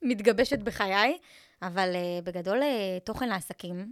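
A woman is speaking here. The recording is very clean, with a silent background. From Israel, Eilat. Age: 20s. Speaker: social media content coach. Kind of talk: casual interview.

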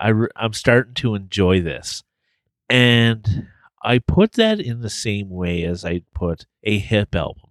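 A man's unremarkable speaking voice at fairly low pitch, fairly slow, with ordinary pitch variation, in a dry, close, very clean recording with no echo and a silent background. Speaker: podcast co-host. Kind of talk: casual chat.

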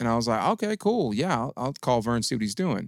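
In a very clean recording with a silent background and a dry, close sound with no echo, a man with an American accent talks in an ordinary speaking voice at a medium pitch and fairly quick pace. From Detroit, Michigan. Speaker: DJ and radio personality. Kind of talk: casual chat.

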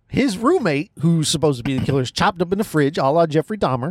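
A man's plain, everyday voice, fairly high in pitch, with lively intonation and a dry, close sound with no echo. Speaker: podcast host. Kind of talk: casual chat. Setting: in a car, parked outside a cinema.

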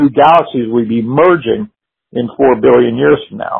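A man speaks at a moderate pace with ordinary pitch variation. He has a normal speaking voice. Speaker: amateur astronomy enthusiast. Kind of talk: casual science chat. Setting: phone call.

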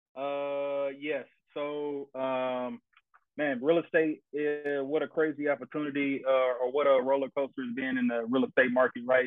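A man talks at a moderate pace with an American accent. He has a plain, everyday voice at a medium pitch. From Tennessee, US South. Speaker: navy pilot and real estate investor. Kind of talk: casual chat.

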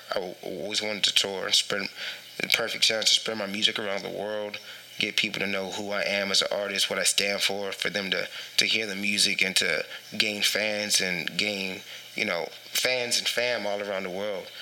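With noticeable background noise behind it, the voice speaks in an American accent at a moderate pace with monotone, flat intonation. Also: man, fairly low pitch for a man. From Texas, San Antonio. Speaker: rapper and Air Force serviceman. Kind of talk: casual chat.

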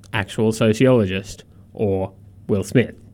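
The speaker is a man with a dark, mellow tone. His pitch sits fairly low. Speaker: radio host. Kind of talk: radio dj patter, casual banter. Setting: studio. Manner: cheeky, animated, laughing.

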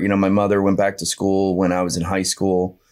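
Recorded very cleanly over a silent background, a man speaks with a fairly low pitch in a New Jersey accent. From New Jersey, Monmouth County Bay Shore. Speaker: real estate agent. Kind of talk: casual interview. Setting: studio.

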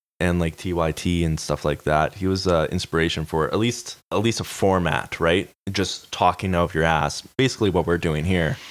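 A man with a Canadian accent talks in a very deep, low voice at a moderate pace. He leaves hardly any pauses, and the recording is very clean with a silent background. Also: ordinary pitch variation. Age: 20s. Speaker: podcast co-host. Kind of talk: casual chat.

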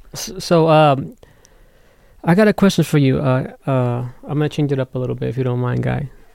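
A man with an unremarkable speaking voice, medium-pitched and fairly quick, with ordinary pitch variation. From Las Vegas, US. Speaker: music producer and guest co-host. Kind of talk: casual interview.

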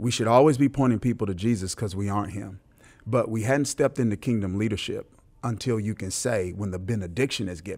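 On a very clean recording with a silent background, a man with an American accent speaks fairly quickly in an ordinary speaking voice, fairly low in pitch with ordinary variation. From US South, Mississippi. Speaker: pastor. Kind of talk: interview. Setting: conference venue.

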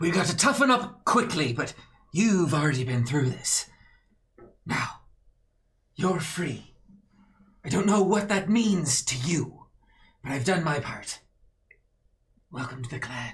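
A man performs a put-on character voice at a high pitch, leaving long, frequent pauses. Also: fairly slow pace. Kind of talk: speech to followers. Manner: grandiose, rousing, self-righteous.

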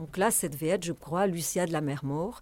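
Fairly low in pitch, a woman talks at a moderate pace with ordinary pitch variation. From France. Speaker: festival director. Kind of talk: interview.

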